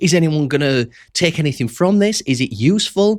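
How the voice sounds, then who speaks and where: The recording is very clean, with a silent background. A man talks in a high-pitched voice. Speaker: entrepreneur vlogger. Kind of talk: casual unscripted monologue. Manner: conversational, friendly.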